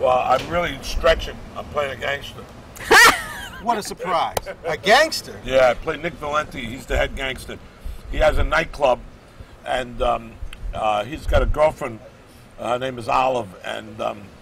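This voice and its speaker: Moderate pacing broken by long, frequent pauses, with a dry, echo-free sound and light background noise. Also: man. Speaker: interview guest, stage actor. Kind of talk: interview answer. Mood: jovial, joking. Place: street. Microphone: lapel.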